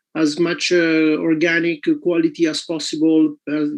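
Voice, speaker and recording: The speaker has an Italian accent and fairly even intonation. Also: man. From Italy. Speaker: health clinic owner and network marketer. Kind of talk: testimony. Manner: halting.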